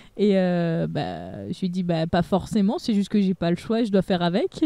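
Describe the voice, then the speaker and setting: A dark, mellow tone sounds over a quiet background. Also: woman. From France, Haute-Savoie. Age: 20s. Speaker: youtuber. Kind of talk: casual chat.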